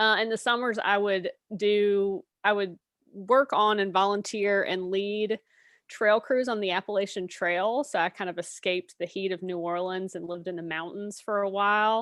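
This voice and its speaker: An unremarkable speaking voice with an American accent. The intonation is fairly even and the pace moderate. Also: woman, medium pitch for a woman. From US South, Mississippi Delta. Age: 50s. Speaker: artist and professor. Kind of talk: interview.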